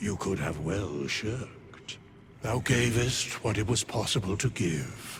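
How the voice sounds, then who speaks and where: A man uses a put-on character voice at a very slow pace. Background noise is clearly heard. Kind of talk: epic fantasy narration. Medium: video game. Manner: archaic, stately, measured.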